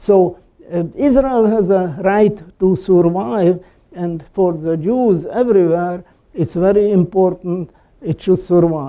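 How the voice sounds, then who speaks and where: At a very slow pace, a man speaks in a high, dark and mellow voice. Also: ordinary pitch variation. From Slovakia. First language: Slovak. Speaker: Holocaust survivor and columnist. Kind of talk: talk with audience questions. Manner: halting, many fillers.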